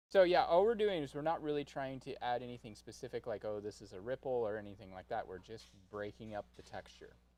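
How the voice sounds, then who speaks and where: At a very fast pace with hardly any pauses, a man of medium pitch speaks with a dark, mellow tone, lively intonation and big swings in loudness. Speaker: painting instructor. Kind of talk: painting tutorial livestream. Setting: livestream studio. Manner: quieter than co-host. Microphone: mic quieter than co-host, not picking up well.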